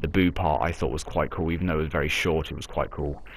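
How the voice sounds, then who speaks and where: Vocal fry colors a man's very deep, low voice. His tone is enthusiastic. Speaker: anime and UFC reviewer. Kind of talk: casual video review. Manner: quieter, less enthusiastic.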